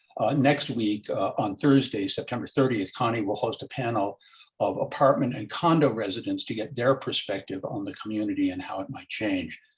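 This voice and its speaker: Somewhat breathy, a man with an American accent talks at a fairly quick pace and medium pitch, with ordinary pitch variation and hardly any pauses. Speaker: local neighborhood commissioner, meeting moderator. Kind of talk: moderating an online community meeting. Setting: video call. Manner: fast; halting, frequent fillers.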